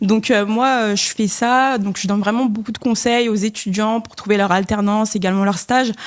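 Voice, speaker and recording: Speaking at a moderate pace, a woman has an unremarkable speaking voice with medium pitch and fairly even intonation. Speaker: content creator, student. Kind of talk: casual podcast chat.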